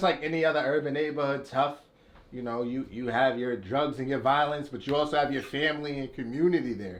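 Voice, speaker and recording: Over audible room echo, a man talks at a very fast pace with a fairly high pitch and ordinary pitch variation. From Boston, Roxbury (Orchard Park). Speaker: rapper. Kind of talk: interview.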